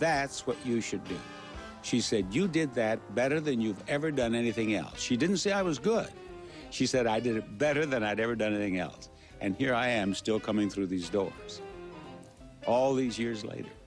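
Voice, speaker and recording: Over music in the background, a man speaks at a moderate pace with lively intonation and a medium pitch. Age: 80s+. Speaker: game show host; war veteran. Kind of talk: interview answer.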